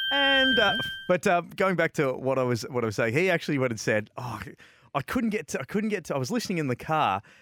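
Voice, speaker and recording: On a very clean recording with a silent background and a dry, close sound with no echo, a man with an Australian accent speaks fairly quickly at a fairly high pitch in an energetic tone with very wide pitch swings. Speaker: motorsport podcast host. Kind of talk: casual radio-style patter. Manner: chatty, jokey, energetic.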